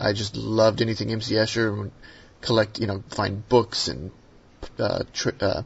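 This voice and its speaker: A man with an American accent speaks at a fairly quick pace in a medium pitch, his somewhat breathy voice flat and monotone. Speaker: sketch card artist. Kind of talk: interview.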